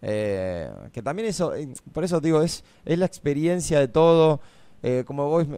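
A man's voice has a dark, mellow tone in a dry sound with no echo. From Argentina, La Pampa. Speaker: former reality show contestant; radio guest. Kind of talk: casual chat. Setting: radio studio. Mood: relaxed, smiling. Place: studio. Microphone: studio mic.

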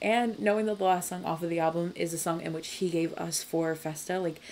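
Over light background noise, a woman with a fairly low pitch and a dark, mellow tone speaks at a fairly quick pace. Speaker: music reaction youtuber. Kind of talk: casual reaction commentary. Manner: animated. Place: home room.

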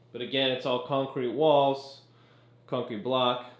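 Audible room echo around a man's speech. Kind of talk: casual home tour commentary. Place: bathroom. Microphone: phone near.

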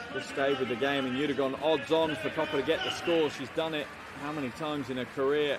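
Over loud background noise, a man speaks very fast in a flat monotone, the sound dry with no echo. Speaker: basketball commentator. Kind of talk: live sports commentary over game highlights. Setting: broadcast voiceover.

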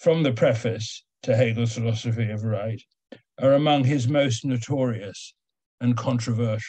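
A somewhat breathy man at a fairly slow pace against a quiet background. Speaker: philosophy lecturer. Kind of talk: lecture. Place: home room. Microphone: video call.

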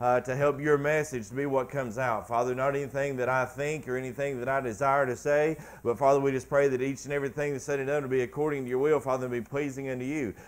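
A man rattles along at a very fast pace with monotone, flat intonation. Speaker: preacher. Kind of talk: spoken prayer. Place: church.

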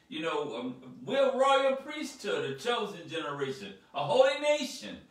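In a room with audible echo, a man talks at a fairly slow pace. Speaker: speaker. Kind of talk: sermon. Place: home room.

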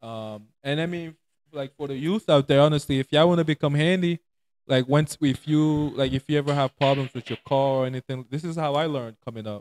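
Speaking fairly quickly, a man lets his pitch vary in an ordinary way. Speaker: podcast host. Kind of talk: casual chat. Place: home room. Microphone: handheld.

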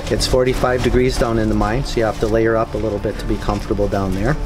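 A man talks over noticeable background noise. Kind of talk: tour guide explanation.

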